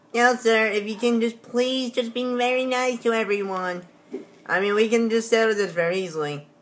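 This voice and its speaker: A woman talks at a moderate pace, her fairly high pitch showing ordinary variation. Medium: machinima. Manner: casual, friendly, pleading.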